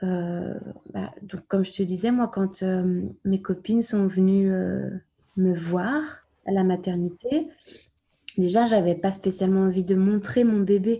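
Somewhat breathy and dark, mellow in tone, a woman speaks at medium pitch with ordinary variation, at a very slow pace with long, frequent pauses. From France. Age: 30s. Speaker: young mother of a premature baby. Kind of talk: testimony. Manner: halting.

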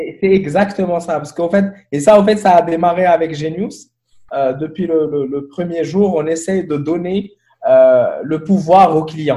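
His pitch high and his intonation fairly even, a man talks at a fairly slow pace with a dark, mellow tone. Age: 30s. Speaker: tech entrepreneur. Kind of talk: interview conversation. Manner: halting with frequent repetitions.

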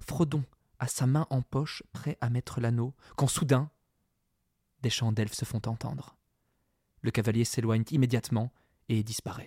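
Dry and close with no echo, a man's somewhat breathy, dark, mellow voice goes at a fairly slow pace with long, frequent pauses and fairly even intonation. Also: medium pitch for a man. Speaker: podcast co-host. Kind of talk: casual discussion with occasional reading aloud.

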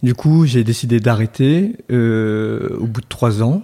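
The speaker is a man with a medium pitch. Ordinary variation shows in his pitch. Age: 30s. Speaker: entrepreneur, co-founder of a soap shop. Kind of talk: interview conversation. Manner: hesitant, many fillers and repetitions.

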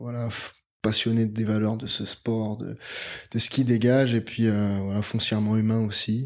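A man's fairly even intonation comes at a medium pitch and a fairly slow pace. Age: 20s. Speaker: NGO deputy director. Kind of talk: interview. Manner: hesitant, many fillers.

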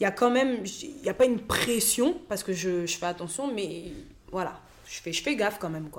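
The voice moves at a moderate pace with very wide pitch swings. Its loudness also swings a lot. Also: woman, medium pitch for a woman. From France. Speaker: comedian and actress. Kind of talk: casual interview chat. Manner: hesitant, with many fillers.

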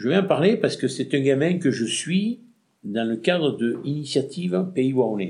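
The pitch swings very widely up and down. There is a somewhat breathy quality to it. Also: man, moderate pace. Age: 60s. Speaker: retired shopkeeper, former traders' association president. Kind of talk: interview. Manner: halting.

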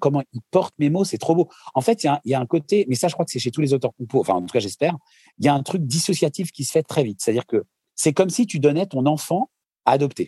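The man's voice has a dark, mellow tone. He talks very fast. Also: dry, close sound with no echo. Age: 40s. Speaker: singer-songwriter. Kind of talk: casual interview.

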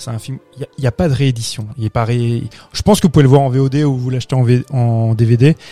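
Music plays behind a man speaking at a fairly quick pace with a medium pitch and fairly even intonation. His sound is dry and close, without echo. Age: 30s. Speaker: film podcast panelist. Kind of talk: casual chat.

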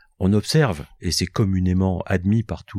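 Recorded very cleanly against a silent background, a man with a fairly low pitch sounds dry and close with no echo. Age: 60s. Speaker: company founder. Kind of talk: interview.

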